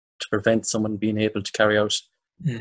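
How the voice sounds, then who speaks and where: Someone speaks very fast with an Irish accent, the sound dry and close with no echo. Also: man. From Ireland. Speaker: podcast host. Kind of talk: interview.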